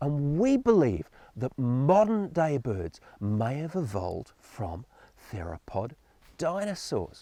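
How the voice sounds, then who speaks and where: With an Australian accent, a man speaks in a dark, mellow tone at a fairly high pitch, with very wide pitch swings. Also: dry, close sound with no echo. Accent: Australian, noticeable. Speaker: science presenter for children. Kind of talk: educational presentation for children. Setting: outdoors in his garden.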